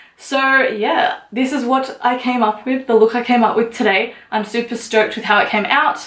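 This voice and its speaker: A woman with an Australian accent and a high voice talks at a moderate pace with hardly any pauses and fairly even intonation over noticeable background noise. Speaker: beauty vlogger. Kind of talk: makeup tutorial. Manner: casual, chatty.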